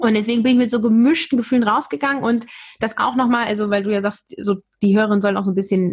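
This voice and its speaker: Somewhat breathy, a woman's medium-pitched voice moves with ordinary pitch variation. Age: 30s. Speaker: communication trainer and podcaster. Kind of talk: interview.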